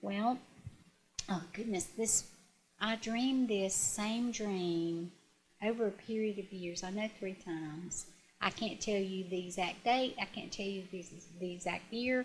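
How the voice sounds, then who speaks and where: At a fairly slow pace, a woman talks at a medium pitch with ordinary pitch variation over noticeable background noise. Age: 60s. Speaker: retired teacher and guest sharing grief story. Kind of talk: interview testimony. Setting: on-location video interview. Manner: halting, with frequent fillers and restarts.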